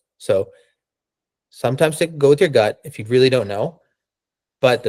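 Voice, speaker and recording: Fairly quick and fairly high in pitch, a man speaks in an unremarkable speaking voice with a dry, close sound with no echo. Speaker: test prep tutor. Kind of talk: online workshop lecture.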